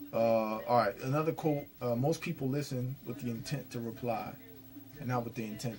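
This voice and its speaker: Over music in the background, the speaker keeps a moderate pace with ordinary pitch variation. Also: man. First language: Spanish. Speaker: vlogger / commentator. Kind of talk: casual monologue commentary. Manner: halting, many fillers and restarts.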